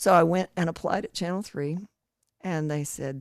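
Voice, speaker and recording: A woman talks with a Southern US accent and fairly even intonation. Her voice is dry and close, with no echo. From East Tennessee. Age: 60s. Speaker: retired TV broadcaster. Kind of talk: interview.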